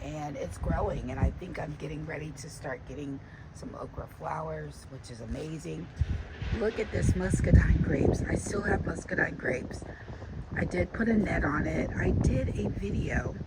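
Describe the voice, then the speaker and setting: Moderate pace over noticeable background noise. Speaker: gardening vlogger. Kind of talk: casual garden tour vlog. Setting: outdoors in garden.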